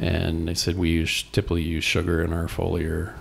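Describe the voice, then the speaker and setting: A man with an American accent talks in a very deep, low pitch that is somewhat breathy. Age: 60s. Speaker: organic hay farmer. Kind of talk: interview. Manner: casual, with fillers.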